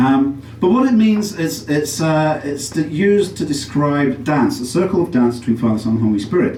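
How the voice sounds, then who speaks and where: A man with a fairly high voice talks at a moderate pace with lively intonation and hardly any pauses, with audible room echo and noticeable background noise. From England, Derby. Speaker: comedian. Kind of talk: stand-up. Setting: stage with audience. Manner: halting.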